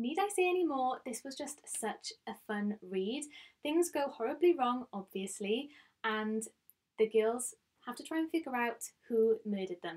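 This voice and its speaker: Speaking with a Welsh accent, a woman with a high voice keeps a moderate pace, making very wide pitch swings and big swings in loudness. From Wales. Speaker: book vlogger. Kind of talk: casual chat.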